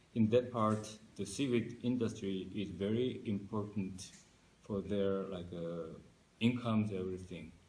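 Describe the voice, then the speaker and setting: A man with a Korean accent talks at a fairly slow pace in a fairly low, somewhat breathy voice. His intonation is fairly even, and audible room echo fills the space. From South Korea. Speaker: marine scientist. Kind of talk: interview. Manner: halting.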